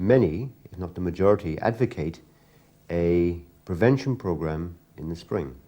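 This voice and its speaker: A man with a very deep, low pitch and a dark, mellow tone, lively intonation, at a moderate pace. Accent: English. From England. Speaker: interviewer, pigeon fancier. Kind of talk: interview.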